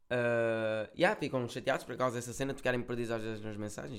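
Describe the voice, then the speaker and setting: Here is a man with a medium pitch. He talks at a very fast pace. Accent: European Portuguese. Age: 20s. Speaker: musician and content creator. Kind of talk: casual chat. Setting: recording at an agency office.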